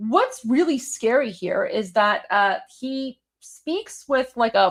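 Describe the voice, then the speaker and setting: A woman speaks with a Toronto accent. The recording is very clean, with a silent background. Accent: Canadian, Toronto. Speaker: political commentator. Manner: many filler words, conversational.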